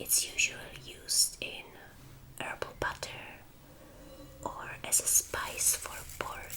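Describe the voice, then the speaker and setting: Over noticeable background noise, a woman whispers in a relaxed tone at a very slow pace, with long, frequent pauses. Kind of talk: whispered ASMR show and tell. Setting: indoors in her room. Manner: whispered, slow, relaxed.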